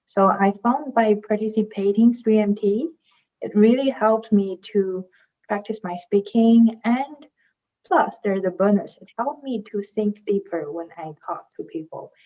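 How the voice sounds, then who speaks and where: Speaking at a fairly slow pace with a non-native accent, a woman has a fairly high pitch, a dark, mellow tone, and ordinary pitch variation. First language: not English. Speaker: PhD student, competition finalist. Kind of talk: panel discussion.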